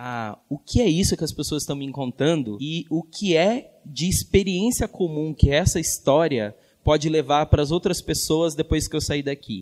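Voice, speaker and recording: Speaking at a moderate pace, a man uses lively intonation in a normal speaking voice. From northern Minas Gerais, Brazil. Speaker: educator and communicator. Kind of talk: panel talk.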